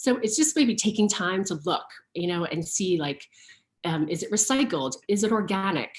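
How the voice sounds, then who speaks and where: Speaking at a moderate pace, a woman uses lively intonation in a somewhat breathy voice at medium pitch. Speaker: fashion stylist and sustainability brand founder. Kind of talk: online talk. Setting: virtual learning session. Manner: many fillers and repetitions.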